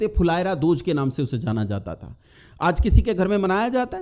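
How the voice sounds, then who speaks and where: In a very clean recording with a silent background, a man speaks at a moderate pace with a dark, mellow tone. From north India, near Delhi. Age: 40s. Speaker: motivational speaker addressing students. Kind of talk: talk to students.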